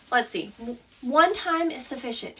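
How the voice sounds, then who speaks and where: A woman speaks in a raised, projected voice with an American accent. Her high voice has a bright, sharp tone. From US South. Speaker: craft instructor. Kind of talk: tutorial. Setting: live stream. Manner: casual.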